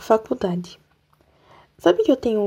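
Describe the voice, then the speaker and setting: A woman with a dark, mellow tone talks at a fairly slow pace with ordinary pitch variation. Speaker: podcaster. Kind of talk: casual monologue. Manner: animated.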